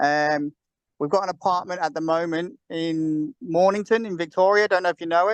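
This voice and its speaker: Here a man with a Liverpool accent talks at a moderate pace and a high pitch, with ordinary pitch variation. The sound is dry and close, with no echo. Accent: sounds Irish to another speaker; Liverpool. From Liverpool, England. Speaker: caller asking for property advice. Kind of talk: casual Q&A on a video call. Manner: hesitant, many fillers.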